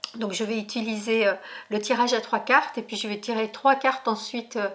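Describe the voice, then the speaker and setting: Over noticeable background noise, a woman speaks at a moderate pace in a fairly high pitch with fairly even intonation. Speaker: tarot reader. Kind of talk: tarot reading video. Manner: hesitant, many fillers.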